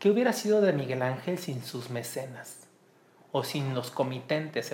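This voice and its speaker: With audible room echo, a man talks at a moderate pace, his fairly high voice carrying lively intonation. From Mexico, Colima. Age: 30s. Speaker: musicologist. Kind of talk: interview.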